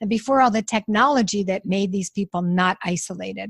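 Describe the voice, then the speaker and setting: A woman speaks in a somewhat breathy voice at medium pitch. The sound is dry and close with no echo, on a very clean recording with a silent background. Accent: American. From New York. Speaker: nonprofit founder. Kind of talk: interview.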